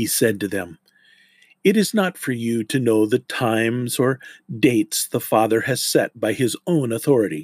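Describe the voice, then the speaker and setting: A man with a plain, everyday voice, ordinary pitch variation, and a dry, close sound with no echo. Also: medium pitch for a man, very clean recording, silent background. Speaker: podcast host. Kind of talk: scripture reading aloud. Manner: formal; slow, measured.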